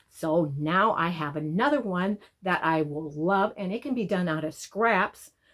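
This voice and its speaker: This woman has an ordinary speaking voice, medium in pitch, with ordinary pitch variation. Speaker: quilting channel host.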